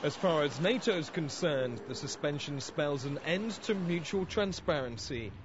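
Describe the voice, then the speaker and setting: Lively intonation from a man with an unremarkable speaking voice, fairly high-pitched and at a moderate pace. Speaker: TV news reporter. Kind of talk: TV news report.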